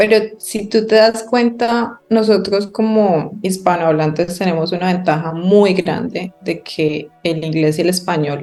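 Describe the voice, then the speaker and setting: With a normal speaking voice, a woman talks fairly slowly at a medium pitch, using ordinary pitch variation and hardly any pauses. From Colombia, Bucaramanga. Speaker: podcast co-host. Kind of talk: casual chat.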